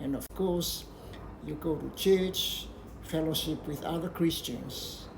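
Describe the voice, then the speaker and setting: Very slow speech with audible room echo. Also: man. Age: 70s. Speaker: health and faith vlogger. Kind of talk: personal advice talk.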